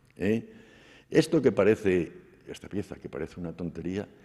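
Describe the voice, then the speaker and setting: With a very deep, low pitch and a dark, mellow tone, the man speaks at a moderate pace and with ordinary pitch variation. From Spain, Cuenca province. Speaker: sculptor. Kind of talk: interview during museum tour. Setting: museum.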